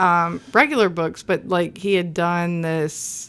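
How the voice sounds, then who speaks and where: The recording is very clean with a silent background. The speaker has a Southern US accent. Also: woman. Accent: mild southern. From US South, Nashville. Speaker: author. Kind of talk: casual chat.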